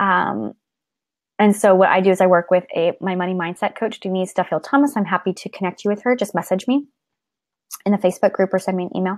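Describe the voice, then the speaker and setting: On a very clean recording with a silent background, a woman speaks at a very fast pace with ordinary pitch variation. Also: medium pitch for a woman. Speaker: artist and creativity coach. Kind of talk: live stream Q&A. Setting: live video stream. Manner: animated.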